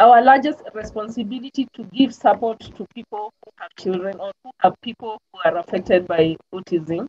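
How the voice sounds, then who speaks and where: A woman's dark, mellow tone with lively intonation, in a dry, close sound with no echo. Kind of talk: panel discussion.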